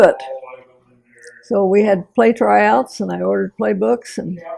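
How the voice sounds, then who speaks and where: A woman talks with a Kansas accent. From Sedgwick, Kansas. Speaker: farmer's wife and melodrama director. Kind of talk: interview answer.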